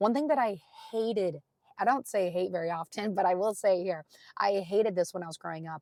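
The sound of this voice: A woman speaks at a moderate pace in a medium-pitched, raspy voice with a slightly mellow tone, ordinary pitch variation, and a dry, close sound with no echo.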